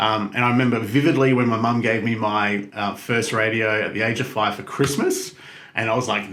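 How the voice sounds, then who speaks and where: With an Australian accent, a man talks at a fairly quick pace and a medium pitch with ordinary pitch variation. Room echo is audible, and the background noise is noticeable. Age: 30s. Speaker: radio host. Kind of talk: interview. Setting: studio. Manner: clear, projected.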